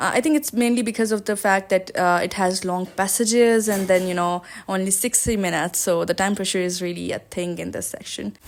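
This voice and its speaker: Speech moves at a fairly quick pace with hardly any pauses and ordinary pitch variation. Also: woman, medium pitch for a woman. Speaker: YouTuber sharing exam tips. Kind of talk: tutorial vlog. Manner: fast; casual with many fillers.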